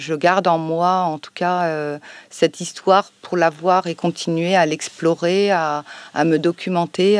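A woman speaks very slowly with monotone, flat intonation. The sound is dry and close, with no echo. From France, Savoie (Chambéry). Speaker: librarian and co-author. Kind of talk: public interview. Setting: library, recorded with a live audience. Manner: hesitant, many fillers.

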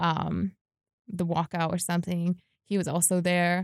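A woman with a New York accent and a fairly low pitch, at a moderate pace, dry and close with no echo, on a very clean recording with a silent background. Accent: American, New York area. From New York, US (Westchester). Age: 20s. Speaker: activist. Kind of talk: casual interview.

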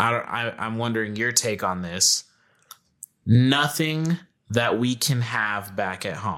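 At a very slow pace, a man speaks with a bright, sharp tone. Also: medium pitch for a man, ordinary pitch variation. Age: 20s. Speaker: podcast co-host. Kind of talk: casual chat.

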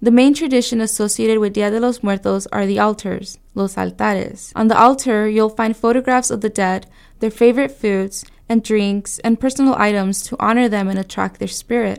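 Delivered at a moderate pace with fairly even intonation, a normal speaking voice comes through a very clean recording with a silent background. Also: woman, fairly high pitch for a woman. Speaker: student news reporter. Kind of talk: radio newscast report, scripted news reading. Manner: measured, clear, formal news-anchor delivery.

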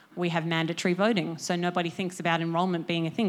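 A woman's very fast, fairly low voice in an Australian accent, monotone and flat, in a very clean recording with a silent background. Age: 20s. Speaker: media startup co-founder. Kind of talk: conference talk. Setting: stage with audience.

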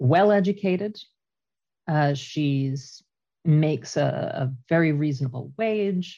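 A woman with a Canadian accent speaks fairly slowly in a very deep, low pitch, somewhat breathy with a dark, mellow tone and ordinary pitch variation. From Canada. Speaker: traveler and podcast team member. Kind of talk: casual chat.

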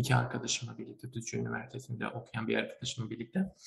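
A man's voice of medium pitch. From Turkey, Malatya. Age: young. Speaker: chemical engineering student and young inventor. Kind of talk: interview. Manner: hesitant, many fillers.

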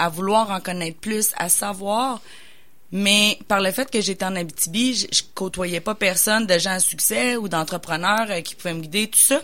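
Speaking at a fairly slow pace, a woman uses a medium-pitched voice with a bright, sharp tone and ordinary pitch variation. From Quebec, Bois-Francs region. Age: 30s. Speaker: business coach and entrepreneur. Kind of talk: radio interview. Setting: radio studio.

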